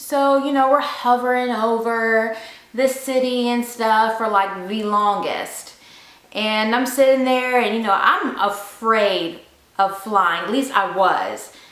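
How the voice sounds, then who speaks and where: A woman talks at a very slow pace with a Southern US accent, her pitch fairly high with ordinary variation. Noticeable background noise sits behind her. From Memphis, Tennessee. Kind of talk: casual story time talk to camera.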